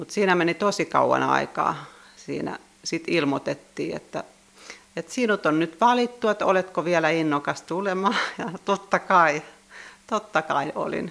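At a fairly slow pace, a woman with a fairly low pitch and a plain, everyday voice speaks with ordinary pitch variation. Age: 60s. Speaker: church sexton. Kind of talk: interview.

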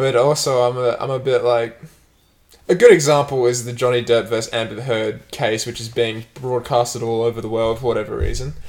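The speech moves at a fairly quick pace with fairly even intonation. It is a plain, everyday voice. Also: man, medium pitch for a man. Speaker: podcast host. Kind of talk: casual banter podcast chat.

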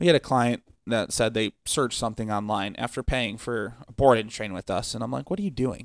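A man with a normal speaking voice, medium pitch and ordinary pitch variation, at a fairly quick pace with hardly any pauses, dry and close with no echo, on a very clean recording with a silent background. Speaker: dog trainer. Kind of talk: casual chat. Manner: casual, joking.

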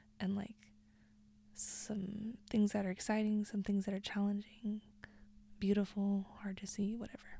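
A woman's somewhat breathy, dark and mellow voice at medium pitch, flat and monotone, at a moderate pace with long, frequent pauses. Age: 20s. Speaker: podcast host. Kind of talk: casual chat. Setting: home bedroom recording.

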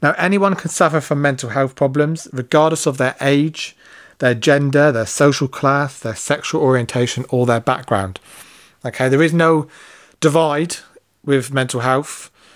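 A man with a British accent and ordinary pitch variation, on a very clean recording with a silent background. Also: fairly high pitch for a man, moderate pace. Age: 30s. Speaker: podcast host. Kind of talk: monologue.

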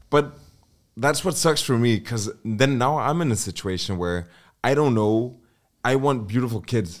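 In a normal speaking voice, the speaker uses lively intonation at a moderate pace, captured on a very clean recording with a silent background. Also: man, medium pitch for a man. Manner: joking.

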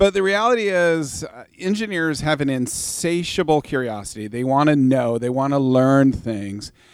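A man with a Pacific Northwest accent talks in an animated tone, his intonation lively and his pitch fairly high. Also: moderate pace. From US Pacific Northwest, Vancouver, Washington. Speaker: youth ministry worker and former engineer. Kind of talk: casual interview. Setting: studio.

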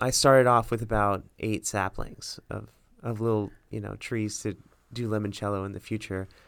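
A man with an American accent and a plain, everyday voice speaks at a moderate pace, his fairly low pitch held in fairly even intonation. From US South, Miami, Florida. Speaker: medical student, future radiologist. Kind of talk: casual chat.

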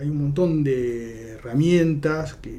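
Over noticeable background noise and audible room echo, a man talks at a fairly high pitch with ordinary pitch variation. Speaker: judge. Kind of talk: interview. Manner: halting, repeats words.

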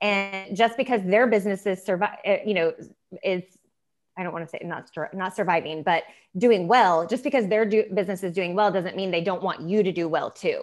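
A woman with a US Midwestern accent speaks fairly quickly at a medium pitch, with ordinary pitch variation. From Indiana, US Midwest. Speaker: small business co-owner. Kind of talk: podcast interview.

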